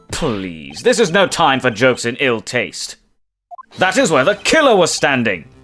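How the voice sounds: A man's put-on character voice, fairly bright in tone, fairly slow, with very wide pitch swings and faint music in the background. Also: medium pitch for a man.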